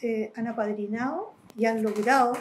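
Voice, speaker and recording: A woman with a fairly high pitch talks very slowly, keeping her intonation fairly even. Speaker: interviewee in documentary, exiled with the subject. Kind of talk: documentary interview, recollection.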